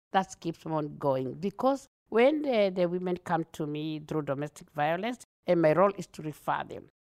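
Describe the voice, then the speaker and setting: A woman with a Kenyan accent speaks at a moderate pace in a fairly low pitch, her intonation lively and the sound dry and close with no echo. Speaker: multicultural liaison officer for police. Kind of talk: interview. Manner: animated; talkative.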